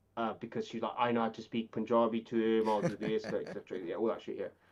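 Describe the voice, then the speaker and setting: This man's pitch is medium. He talks at a very fast pace. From Birmingham, England. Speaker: IT and data professional. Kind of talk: casual podcast chat. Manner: halting, many false starts and repeats.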